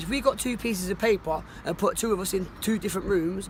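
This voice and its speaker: Talking at a very fast pace, a man with a Cockney accent uses a high pitch and ordinary pitch variation, over noticeable background noise. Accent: Cockney London English. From London (Cockney). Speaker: homeless man interviewed. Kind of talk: street interview. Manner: halting, many repetitions; quiet, calm.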